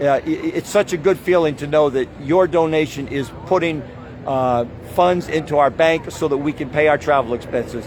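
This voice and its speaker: A fairly high-pitched man speaks at a moderate pace with ordinary pitch variation. Noticeable background noise runs underneath. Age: 70s. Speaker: activist protest leader. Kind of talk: direct-to-camera address at protest. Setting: outdoors at street protest. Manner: halting, many fillers.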